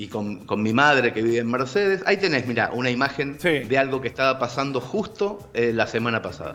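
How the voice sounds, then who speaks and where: Music plays behind a man with a medium pitch and lively intonation. He talks fairly quickly with hardly any pauses. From Argentina, living in Barcelona. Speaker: writer and storyteller. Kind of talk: casual video-call interview answer.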